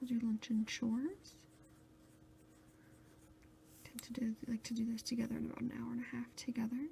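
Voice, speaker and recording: The speaker is soft-spoken and keeps a moderate pace. Long, frequent pauses break up the speech. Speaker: ASMR video creator, research assistant. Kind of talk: ASMR planner walkthrough, soft-spoken talk to camera. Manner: soft-spoken, quiet, relaxing.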